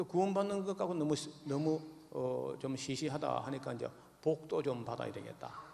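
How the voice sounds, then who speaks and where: A man speaks at a moderate pace. Noticeable background noise can be heard throughout. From Gyeongsang region, Jirisan mountains. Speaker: pastor. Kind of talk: sermon. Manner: halting, many fillers.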